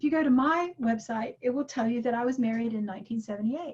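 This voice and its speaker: At a moderate pace, a woman talks in a high pitch. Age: 60s. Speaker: workshop teacher. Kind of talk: lecture. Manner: animated.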